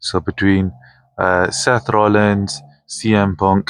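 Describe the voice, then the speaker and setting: A man mumbles at a very slow pace with a fairly low pitch. The sound is dry and close with no echo, and the background is quiet. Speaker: wrestling vlogger. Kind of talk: casual vlog talk. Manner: mumbling.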